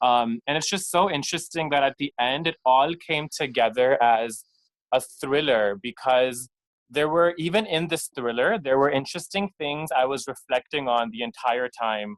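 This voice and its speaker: At a moderate pace, a man with a fairly high pitch speaks in a normal speaking voice, with ordinary pitch variation and a dry, close sound with no echo. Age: 20s. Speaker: audience member. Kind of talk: casual chat. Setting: video call.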